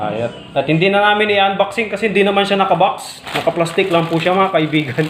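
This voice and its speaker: With a Pangasinan accent and a high voice, a man speaks at a very fast pace with very even loudness and ordinary pitch variation amid noticeable background noise. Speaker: product reviewer vlogger. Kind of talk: casual product review to camera.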